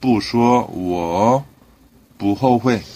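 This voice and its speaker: Fairly low pitch from a man, with ordinary pitch variation. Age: 40s. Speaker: Chinese language teacher. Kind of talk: casual monologue; tutorial. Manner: hesitant, many fillers.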